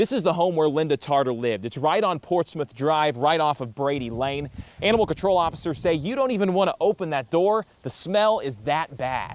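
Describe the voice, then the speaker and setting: Energetic and lively in intonation, a man speaks in a fairly high pitch. He talks at a fairly quick pace with hardly any pauses. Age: young. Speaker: TV news anchor and reporter. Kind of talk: live TV news report and anchor read.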